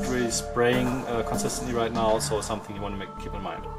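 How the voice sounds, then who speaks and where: A man's voice with music in the background. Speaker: miniature painter. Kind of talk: tutorial talk to camera.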